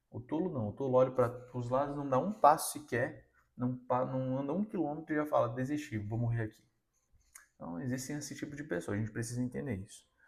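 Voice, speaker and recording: A man with a somewhat breathy, medium-pitched voice speaks fairly quickly, varying his pitch in an ordinary way. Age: 20s. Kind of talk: motivational sermon-style talk. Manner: casual, conversational.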